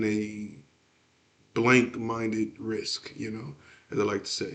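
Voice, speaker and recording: A man with an American accent has a normal speaking voice at a medium pitch. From Texas, Houston. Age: 30s. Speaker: aspiring entrepreneur, podcaster. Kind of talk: solo podcast monologue. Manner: many filler words, casual.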